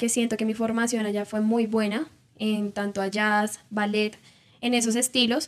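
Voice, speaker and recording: A woman with a normal speaking voice talks at a fairly high pitch and a moderate pace. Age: 20s. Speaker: dancer and entrepreneur. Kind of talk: interview.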